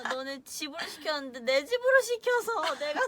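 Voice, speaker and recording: A woman speaks with very wide pitch swings. Noticeable background noise runs underneath. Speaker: K-pop idol. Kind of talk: casual chat on a fan livestream. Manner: slow speech.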